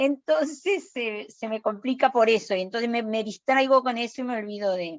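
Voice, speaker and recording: A woman talks at a moderate pace with hardly any pauses, her fairly high voice carrying lively intonation. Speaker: lecturer. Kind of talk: lecture. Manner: halting; soft-spoken. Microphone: too quiet.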